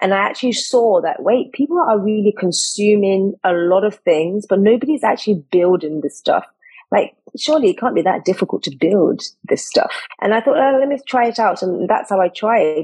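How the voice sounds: With lively intonation and a moderate pace, a woman speaks at a medium pitch in a slightly mellow tone that has a slightly husky edge.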